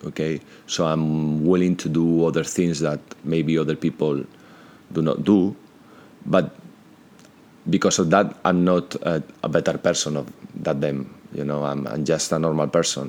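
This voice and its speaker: A man speaks with a Spanish accent and a very deep, low pitch. His intonation stays fairly even, broken by long, frequent pauses. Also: moderate pace. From Spain, Madrid. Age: 50s. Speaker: entrepreneur. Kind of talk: interview.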